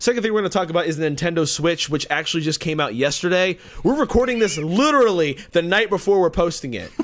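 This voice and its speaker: Over noticeable background noise, a man with a high pitch talks at a very fast pace with lively intonation. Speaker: podcast host. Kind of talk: casual chat.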